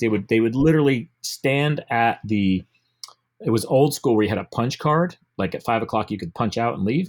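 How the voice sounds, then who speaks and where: With lively intonation and a fairly quick pace, a man talks in a normal speaking voice at a medium pitch on a very clean recording with a silent background. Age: 50s. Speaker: gym owner and coach. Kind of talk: casual interview chat. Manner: casual, filler-heavy.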